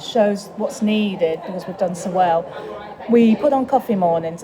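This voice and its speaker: A woman's voice at medium pitch, with noticeable background noise. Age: 60s. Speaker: charity trustee. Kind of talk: interview. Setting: leisure centre cafe.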